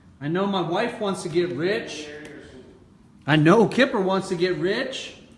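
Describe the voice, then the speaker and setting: Animated tone at a fairly slow pace, with ordinary pitch variation and noticeable background noise. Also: man, high pitch for a man. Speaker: motivational speaker. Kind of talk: casual livestream talk. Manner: loud.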